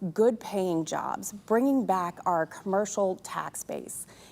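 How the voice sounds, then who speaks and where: Here is a woman with an ordinary speaking voice. She sits at medium pitch, with ordinary pitch variation. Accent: American. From Texas, Fort Worth. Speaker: city council candidate. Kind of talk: opening statement at candidate forum.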